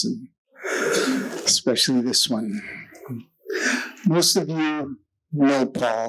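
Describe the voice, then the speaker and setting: A man speaks very slowly. His voice is soft-spoken. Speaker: surfer. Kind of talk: speech introducing an honoree at a gala.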